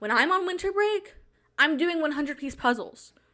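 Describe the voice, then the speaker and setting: Raised and projected, a woman's voice has a bright, sharp tone. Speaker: video creator. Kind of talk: casual, chatty. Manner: fast talker.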